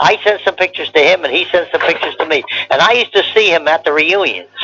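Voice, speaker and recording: A man talks very fast with an American accent. Noticeable background noise runs underneath. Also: dry, close sound with no echo. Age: 90s. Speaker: war veteran. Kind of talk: oral history interview. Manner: halting, repetitive.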